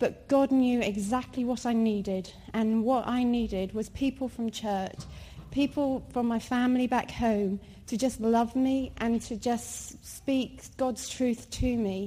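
Speaking at a fairly slow pace, a woman has a normal speaking voice. Her pitch is fairly high and her intonation fairly even. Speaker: mother. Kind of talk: testimony. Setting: church.

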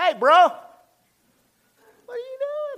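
This is a put-on character voice. Its pitch is extremely high. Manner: playful, exaggerated.

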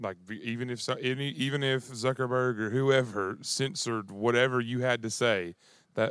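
A man talks in a plain, everyday voice at medium pitch and a moderate pace. His intonation is fairly even, on a very clean recording with a silent background. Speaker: pastor, co-host. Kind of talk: casual talk on a podcast.

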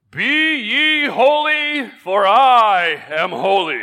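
A man puts on a character voice, pitched extremely high, in a raised, projected delivery. He speaks at a very slow pace. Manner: solemn.

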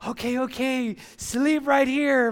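A man with an extremely high pitch and fairly even intonation is heard on a very clean recording with a silent background. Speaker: pastor. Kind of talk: sermon. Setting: church.

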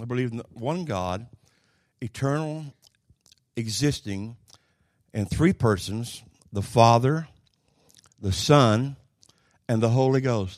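In a rural Oklahoma accent, a man speaks at a medium pitch with ordinary pitch variation, at a very slow pace, with long, frequent pauses. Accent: Oklahoma rural Southern US drawl. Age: 70s. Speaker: preacher. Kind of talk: sermon. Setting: church.

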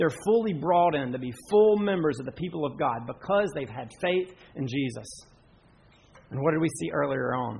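A man with a Southern US accent speaks at a moderate pace in a fairly high pitched voice with lively intonation. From western North Carolina. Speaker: pastor. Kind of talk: sermon.

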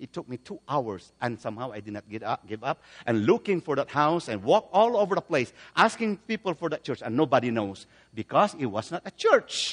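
A man with a fairly high pitch, a fairly quick pace, very wide pitch swings and big swings in loudness, against a quiet background. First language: a Philippine language. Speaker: guest preacher and Bible translator. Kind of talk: sermon. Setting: church service.

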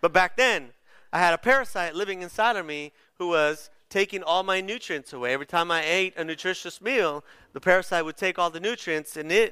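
On a very clean recording with a silent background, a man with a high, bright, sharp voice speaks at a moderate pace with ordinary pitch variation. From Bolivia, moved to Chula Vista, California as a child. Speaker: pastor. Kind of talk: sermon. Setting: church. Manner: casual, hesitant with many fillers.

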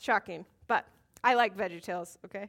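A woman projects a raised voice with a bright, sharp tone and very wide pitch swings. The recording is very clean, with a silent background. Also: dry, close sound with no echo. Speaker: Bible study teacher. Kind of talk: Bible teaching. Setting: room with live audience. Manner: loud; casual, conversational.

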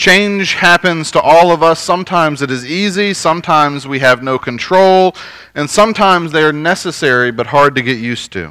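With an American accent, a man speaks at a moderate pace in a fairly high pitch, using a bright, sharp tone and ordinary pitch variation. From US, northern Virginia (DC suburbs). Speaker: pastor. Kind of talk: sermon.

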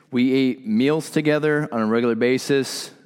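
An ordinary speaking voice from a man, medium in pitch, at a fairly slow pace with ordinary pitch variation. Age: 30s. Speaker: pastor. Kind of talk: sermon.

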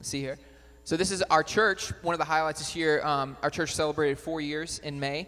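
A man's fairly high voice, bright and sharp in tone, at a fairly quick pace with fairly even intonation. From Batesville. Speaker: missionary. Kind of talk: church presentation.

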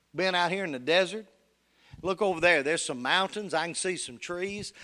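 In a very clean recording with a silent background, a man with a Tennessee accent talks at a very fast pace and a high pitch. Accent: Southern US (Tennessee). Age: 60s. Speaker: pastor. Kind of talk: sermon. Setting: church.

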